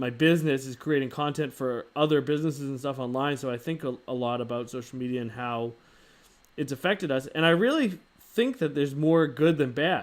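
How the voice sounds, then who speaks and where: Fairly high in pitch with ordinary pitch variation, a man speaks at a fairly quick pace on a very clean recording with a silent background. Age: 30s. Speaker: livestream host. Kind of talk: casual chat. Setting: live stream.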